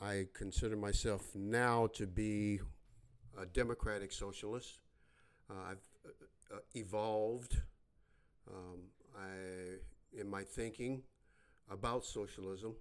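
A man with an American accent talks at a very slow pace in a fairly low voice. He pauses often and for a long time. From US Midwest, west side of Chicago. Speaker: political podcaster, Navy veteran. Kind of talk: solo political monologue. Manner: halting, many fillers; blunt, direct.

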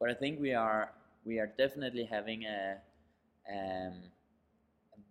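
Someone with a Danish accent speaks in fairly even intonation, pausing long and often. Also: man. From Denmark, near Copenhagen. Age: 30s. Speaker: startup founder and CEO. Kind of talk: interview. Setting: high-ceilinged room in New York. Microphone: poor sound quality, echo from high ceilings.

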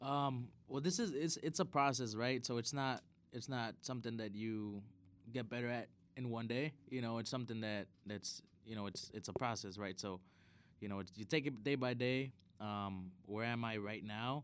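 A medium-pitched man speaks at a moderate pace, his pitch varying in an ordinary way. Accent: Chicago. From Chicago, US Midwest (South Side). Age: 20s. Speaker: DJ and event manager. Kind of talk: casual chat.

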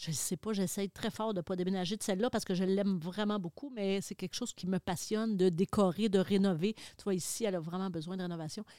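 On a very clean recording with a silent background and a dry, close sound with no echo, a woman with a Quebec accent speaks very fast with hardly any pauses, her dark, mellow tone held to fairly even intonation. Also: medium pitch for a woman. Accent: Québécois French. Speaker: television host. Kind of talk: casual chat.

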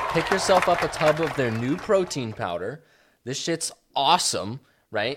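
A man speaks in an animated tone at a moderate pace, with crowd noise in the background. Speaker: podcast co-host. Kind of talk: casual chat. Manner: loud.

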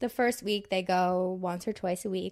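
The speech comes at a moderate pace in a monotone, flat intonation on a very clean recording with a silent background. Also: woman. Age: 20s. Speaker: podcast co-host, fitness coach. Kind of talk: casual chat.

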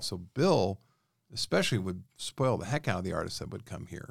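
With an American accent, a man speaks with ordinary pitch variation on a very clean recording with a silent background. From Reno, Nevada. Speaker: recording engineer and producer. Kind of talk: interview. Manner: animated.

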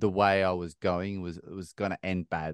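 In an Australian accent, a man speaks with a dry, close sound and no echo. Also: quiet background. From Australia, rural New South Wales (Bathurst). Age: 30s. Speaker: ultra-endurance athlete and mindset coach. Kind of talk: interview conversation.

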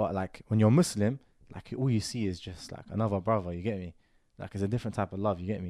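Talking at a very fast pace, a man with a London accent and fairly low pitch shows big swings in loudness. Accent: London multicultural English. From Moroccan heritage, raised in UK. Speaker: podcast host. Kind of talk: casual chat.

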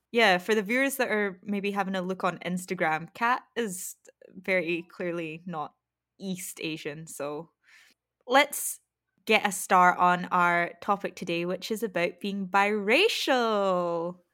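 A woman in a Scottish accent at medium pitch, a fairly slow pace and ordinary pitch variation, on a very clean recording with a silent background. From Scotland. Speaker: podcast host. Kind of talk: casual chat.

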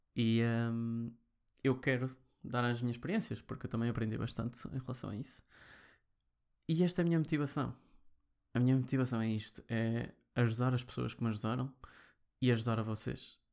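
A man with a European Portuguese accent speaks fairly quickly at a medium pitch, with fairly even intonation and long, frequent pauses. The recording is very clean, with a silent background. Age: 20s. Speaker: podcast host, programmer. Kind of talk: personal monologue. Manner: halting.

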